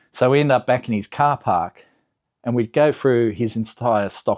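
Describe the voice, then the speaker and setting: Against a quiet background, a man with an Australian accent talks at a moderate pace and medium pitch with ordinary pitch variation, the sound dry and close with no echo. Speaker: car enthusiast YouTuber. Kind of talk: casual vlog recap. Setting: home garage.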